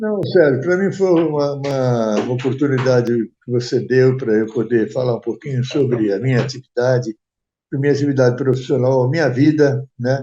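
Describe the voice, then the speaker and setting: At a moderate pace, a man speaks in a medium pitch with ordinary pitch variation. His tone is dark and mellow. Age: 90s. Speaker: retired events industry executive. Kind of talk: interview. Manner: halting.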